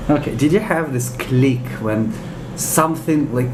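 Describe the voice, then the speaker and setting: With a Russian accent, a man talks at medium pitch and a moderate pace, using ordinary pitch variation. Audible room echo and noticeable background noise fill the recording. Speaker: interviewer, English teacher. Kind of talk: interview.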